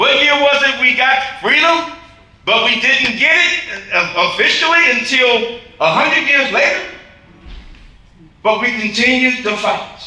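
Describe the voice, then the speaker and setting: Over noticeable background noise and audible room echo, a man with an American accent uses a raised, projected voice at an extremely high pitch, speaking at a fairly slow pace with ordinary pitch variation and very even loudness. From Michigan. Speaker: basketball coach. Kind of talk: tribute speech. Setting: gala hall with audience. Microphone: no microphone, speaking unamplified.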